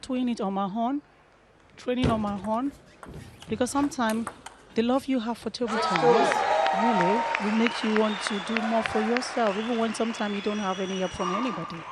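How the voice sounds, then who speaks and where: A woman at a fairly high pitch and fairly quick pace, with long, frequent pauses and crowd noise in the background. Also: ordinary pitch variation. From Nigeria. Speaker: table tennis co-commentator. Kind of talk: live commentary. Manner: loud.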